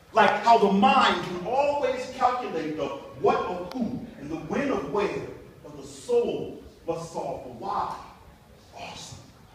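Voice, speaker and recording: A high-pitched man at a fairly slow pace, with very wide pitch swings, big swings in loudness, and noticeable background noise. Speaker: spoken word poet. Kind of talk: spoken word poetry performance.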